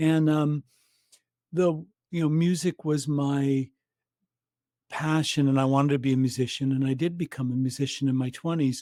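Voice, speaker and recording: A man with a Canadian accent speaks in a fairly high pitch for a man with a dark, mellow tone, monotone, flat intonation, very even loudness and long, frequent pauses, the sound dry and close with no echo. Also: moderate pace. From Canada. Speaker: breathwork practitioner. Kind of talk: interview conversation. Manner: halting.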